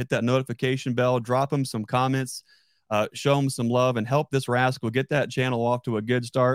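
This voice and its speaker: Moderate pace, an ordinary speaking voice. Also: man. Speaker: podcast host and beekeeper. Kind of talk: casual interview chat. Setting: live stream online video call.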